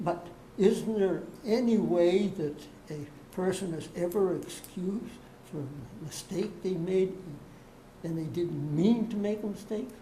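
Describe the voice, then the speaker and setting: A woman's medium-pitched, fairly slow speech with long, frequent pauses, amid noticeable background noise and audible room echo. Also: ordinary pitch variation. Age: 90s. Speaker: property owner seeking a variance. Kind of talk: public hearing testimony. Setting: public board meeting. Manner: halting.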